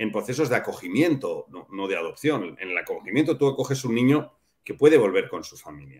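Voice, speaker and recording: Lively intonation marks a man speaking with a Castilian accent. His pace is moderate, with a quiet background. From Spain. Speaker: father of adoptive family; interview guest. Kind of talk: interview. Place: home room.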